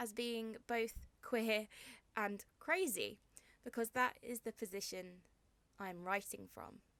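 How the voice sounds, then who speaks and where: A woman in a southern English accent, fairly high-pitched and very slow, with ordinary pitch variation. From southern England, Hampshire. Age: 20s. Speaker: poet. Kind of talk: poetry reading; casual introduction. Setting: home bedroom, video recording.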